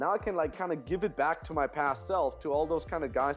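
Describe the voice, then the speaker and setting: Over music in the background, a man talks at a fairly quick pace and fairly high pitch. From Vienna, Austria. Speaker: dating coach and instructor. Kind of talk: podcast interview answer. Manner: conversational, motivational.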